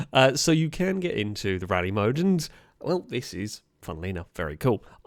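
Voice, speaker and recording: A man with a British accent, very wide pitch swings and a fairly quick pace, on a very clean recording with a silent background. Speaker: gaming YouTuber. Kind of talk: gameplay commentary. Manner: casual, hesitant with fillers.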